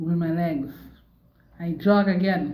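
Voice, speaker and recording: The voice has a dark, mellow tone, is somewhat breathy, and carries fairly even intonation in audible room echo. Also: woman. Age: 60s. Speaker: stroke survivor vlogger. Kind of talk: personal testimony monologue. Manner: repetitive, emphatic.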